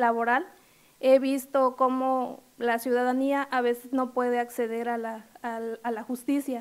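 A woman speaks very slowly in a high pitch with a monotone, flat intonation. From Quintana Roo, Mexico (rural Bacalar); Quintana Roo, Mexico. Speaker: lawyer, judicial candidate; lawyer, candidate. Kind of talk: formal interview before legislative committee. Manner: formal, with hesitations. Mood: formal, earnest. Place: meeting room. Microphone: podium.

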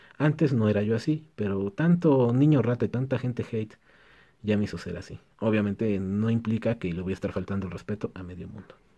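A man's fairly low, dark, mellow voice, fairly quick, with ordinary pitch variation and big swings in loudness, against a quiet background. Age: 30s. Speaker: electronics repair technician, YouTuber; YouTuber. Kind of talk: casual Q&A vlog. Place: workshop.

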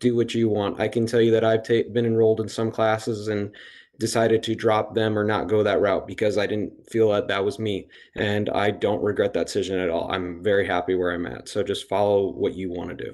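With an American accent, a man talks at a fairly quick pace. His pitch is fairly low and his intonation fairly even. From Indiana, Hammond; Indiana. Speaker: PhD student; panelist. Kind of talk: live Q&A panel. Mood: friendly, encouraging. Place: home room. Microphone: video call.

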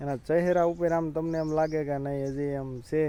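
A man speaks in a fairly high pitch with a flat, monotone intonation. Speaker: village vlogger and farmer. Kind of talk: casual vlog narration. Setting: outdoors on a farm.

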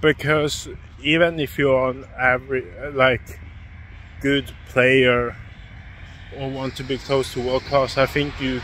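Over light background noise, a man speaks at a very slow pace with long, frequent pauses and fairly even intonation, the sound dry with no echo. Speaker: sports vlogger. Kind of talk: casual vlog chat. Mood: critical opinion rant. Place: street. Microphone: phone near.

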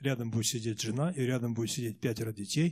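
A somewhat breathy man talks at a fairly quick pace. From Russia, Omsk region, Siberia; Russia. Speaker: Protestant church leader; guest. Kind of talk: interview answers. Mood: earnest, reflective. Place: church. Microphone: handheld.

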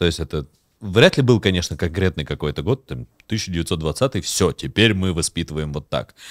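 A man with a very deep, low pitch speaks with vocal fry and lively intonation. The background is quiet and the sound is dry with no echo. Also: moderate pace. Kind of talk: casual chat. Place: studio. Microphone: studio mic.

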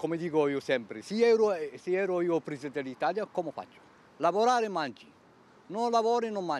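With a dry sound and no echo, a man speaks fairly quickly in a high pitch with lively intonation. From Algeria. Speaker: unemployed job seeker. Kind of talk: street interview. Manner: broken Italian, emotional. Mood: aggrieved, insistent. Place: street. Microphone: handheld.

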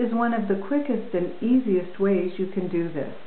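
With audible room echo, a woman talks at a moderate pace and ordinary pitch variation. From Canada. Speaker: English teacher. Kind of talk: promotional talk to camera. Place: home room. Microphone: webcam.

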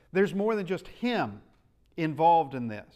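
The speaker is a man. The background is quiet. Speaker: Bible class teacher. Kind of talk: sermon. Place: church. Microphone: lapel.

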